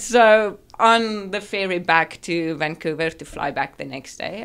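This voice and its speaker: A woman speaks with a South African accent. Her pitch varies in an ordinary way. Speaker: dentist. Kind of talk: podcast interview.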